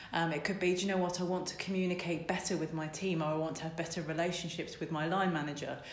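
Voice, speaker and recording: A woman with a fairly low pitch talks at a very fast pace with hardly any pauses and a monotone, flat intonation, amid noticeable background noise and audible room echo. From Essex, England. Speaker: business coach. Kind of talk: interview.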